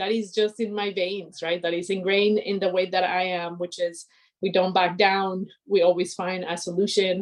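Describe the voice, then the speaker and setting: A woman with a Spanish accent, medium-pitched, at a moderate pace, in a flat monotone. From Colombia (Cali). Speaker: aerospace engineer. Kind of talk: inspirational talk.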